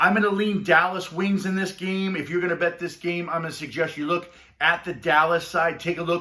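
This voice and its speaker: Here a man speaks in a high voice at a fairly quick pace. His tone is animated. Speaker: sports betting tipster. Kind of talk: casual monologue. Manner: fast.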